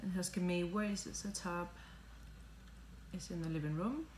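A woman speaks at a fairly low pitch with ordinary pitch variation. Audible room echo and light background noise are present. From Spain. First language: Spanish. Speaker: home vlogger. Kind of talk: casual unboxing talk to camera. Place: home room. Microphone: phone near.

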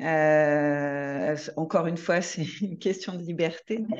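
Against a quiet background, a woman speaks at a fairly low pitch with ordinary pitch variation. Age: middle-aged. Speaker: equine-assisted therapist; guest. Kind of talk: online panel discussion. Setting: video call. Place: home room. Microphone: video call.

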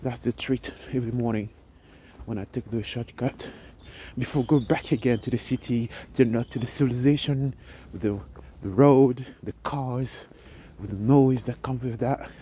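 A dark, mellow, somewhat breathy tone at a moderate pace, with fairly even intonation, long and frequent pauses, and a dry sound with no echo. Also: man. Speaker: travel vlogger. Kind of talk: casual vlog chat. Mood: calm, appreciative. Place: open country. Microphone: phone near.

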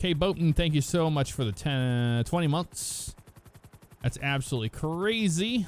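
Using a normal speaking voice, a man talks at a fairly slow pace with fairly high pitch, lively intonation and very even loudness. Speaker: gaming streamer playing police roleplay. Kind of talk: live-streamed game roleplay with chat commentary. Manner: casual and chatty.

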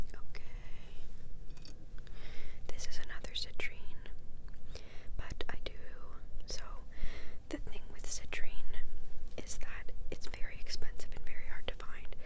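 Over loud background noise, a woman talks at a fairly slow pace with long, frequent pauses. The sound is dry with no echo. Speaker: ASMR creator. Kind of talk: ASMR whispered show-and-tell. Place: home room. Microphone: lapel.

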